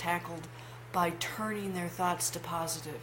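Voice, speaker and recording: Against noticeable background noise and audible room echo, a woman speaks in a fairly low voice with lively intonation. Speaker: life coach. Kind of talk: vlog monologue. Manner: halting.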